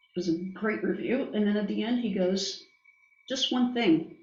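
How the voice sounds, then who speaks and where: A woman speaks at a moderate pace with fairly even intonation. There is audible echo in the room. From Brazil. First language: Portuguese. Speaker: business executive. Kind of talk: interview. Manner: halting, many fillers.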